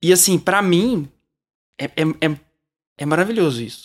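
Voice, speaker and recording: Fairly slow in speed, a man's speech shows ordinary rise and fall in pitch. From Brazil, Uberlândia, Minas Gerais. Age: 30s. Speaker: children's composer and musician. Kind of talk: casual interview chat.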